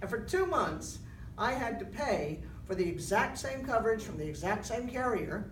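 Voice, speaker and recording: Over noticeable background noise and audible room echo, a woman talks at a moderate pace. Her fairly high voice swings very widely in pitch. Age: 60s. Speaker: town hall attendee. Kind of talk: public comment.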